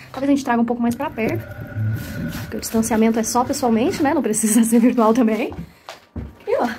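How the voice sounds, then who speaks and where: Quiet and very fast, a woman speaks at a high pitch through audible room echo and noticeable background noise. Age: young. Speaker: cultural monitor and storyteller. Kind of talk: casual behind-the-scenes vlog. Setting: at home. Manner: speaking quietly; animated.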